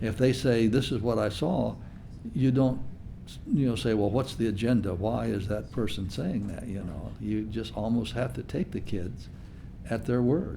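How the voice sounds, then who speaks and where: A man's fairly low, dark and mellow voice with vocal fry, lively intonation and a moderate pace. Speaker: UFO researcher. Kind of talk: interview answer.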